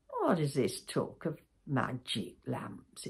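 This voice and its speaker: Someone uses a put-on character voice, low-to-middle in pitch, delivered at a very slow pace. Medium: read story. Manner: calm, wise.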